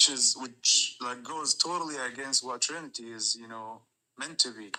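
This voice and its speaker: Carrying a slight non-native accent, a man speaks at medium pitch with big swings in loudness. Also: ordinary pitch variation, moderate pace. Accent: slight foreign. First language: not English. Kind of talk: debate. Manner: halting.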